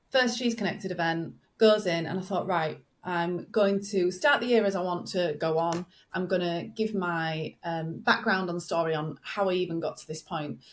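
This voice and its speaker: In a very clean recording with a silent background, a woman with a northern English accent talks at a moderate pace, her pitch fairly low with ordinary variation. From northern England. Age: 40s. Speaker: business growth coach. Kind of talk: podcast interview. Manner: relaxed, conversational.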